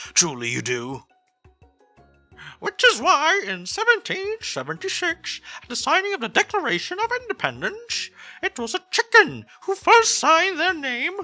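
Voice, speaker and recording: A put-on character voice is heard with faint music in the background. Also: moderate pace. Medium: role play.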